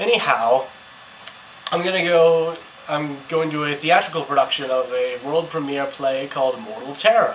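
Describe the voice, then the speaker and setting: Through noticeable background noise, a man speaks at a fairly high pitch with ordinary pitch variation. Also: moderate pace. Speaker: student vlogger. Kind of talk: casual vlog monologue. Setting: outdoors in city. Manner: animated; mumbling in public.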